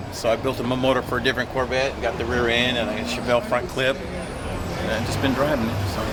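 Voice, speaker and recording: A man of medium pitch talks at a very fast pace with fairly even intonation and hardly any pauses, amid audible room echo and noticeable background noise. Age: 70s. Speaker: classic car builder. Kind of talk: casual chat.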